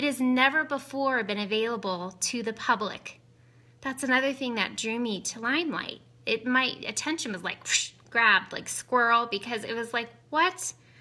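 A woman's high-pitched voice, bright and sharp, with an upbeat tone, ordinary pitch variation and a moderate pace. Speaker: beauty consultant. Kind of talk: casual live makeup demo. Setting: live video stream at home. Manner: chatty, upbeat, excitable. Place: home room. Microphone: phone near.

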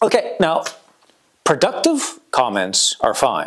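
A man talks at a very slow pace against a quiet background. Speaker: YouTube creator. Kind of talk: casual vlog chat. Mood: wry, joking. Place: studio. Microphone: lapel.

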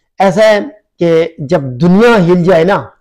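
This man's voice sits high in pitch, with fairly even intonation. His tone is dark and mellow, and the background is quiet. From Pakistan. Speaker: YouTube vlogger. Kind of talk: vlog commentary. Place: home room. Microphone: phone near.

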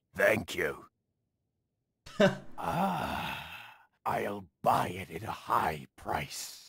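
A put-on character voice, raspy and gravelly, sits at a low pitch. It moves at a very slow pace with long, frequent pauses. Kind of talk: pirate-like.

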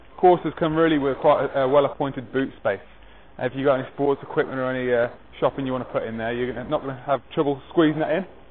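Over light background noise, a man speaks at a very fast pace. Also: fairly even intonation. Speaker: car salesman. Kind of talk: sales walkaround presentation. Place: street.

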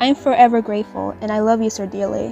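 A woman's fairly quick speech over music in the background. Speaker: gacha video creator and artist. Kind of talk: casual New Year message to viewers.

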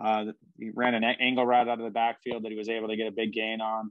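A man at a medium pitch talking at a very fast pace, with a quiet background and a dry sound with no echo. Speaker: podcast co-host. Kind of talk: sports podcast discussion. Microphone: video call.

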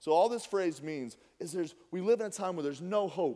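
A man with an American accent talks at a moderate pace. His pitch is fairly high and his intonation lively. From Minnesota, US Upper Midwest. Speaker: pastor. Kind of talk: sermon. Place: church.

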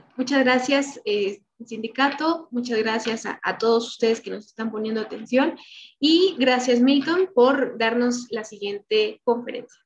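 A woman's high-pitched voice at a fairly slow pace, with light background noise. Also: ordinary pitch variation. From Mexico. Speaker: event coordinator introducing speaker; speaker. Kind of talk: speaker introduction. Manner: halting. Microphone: video call.

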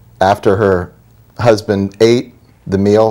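A man with an unremarkable speaking voice, fairly low in pitch with fairly even intonation, against a quiet background. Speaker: guest. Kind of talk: interview answer. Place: studio. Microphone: lapel.

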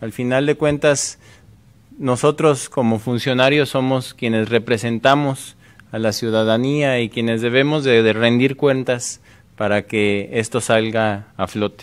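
Fairly slow pace and fairly even intonation from a man. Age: 30s. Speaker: mayoral candidate; candidate. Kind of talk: political debate. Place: studio. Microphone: podium.

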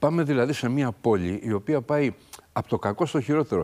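His pitch varies in the usual way. The man keeps to a moderate pace. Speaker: mayoral candidate; candidate. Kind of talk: political interview. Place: studio. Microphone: lapel.

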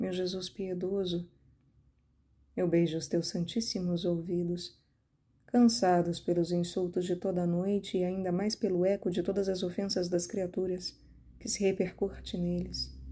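A woman's medium-pitched, somewhat breathy voice with a dark, mellow, solemn tone, flat monotone intonation and a fairly slow pace, on a very clean recording with a silent background. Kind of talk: fervent prayer, devotional reading aloud in first person. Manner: pleading, impassioned, tender, earnest; slow, reverent, solemn.

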